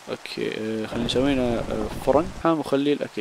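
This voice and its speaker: Noticeable background noise runs under a man's talking. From Iraq. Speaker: gaming YouTuber. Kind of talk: gameplay commentary. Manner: animated.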